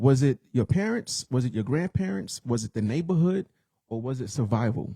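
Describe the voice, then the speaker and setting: A man talks at a moderate pace with lively intonation and a dark, mellow, somewhat breathy tone. The sound is dry and close, with no echo. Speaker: podcast co-host. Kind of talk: casual chat.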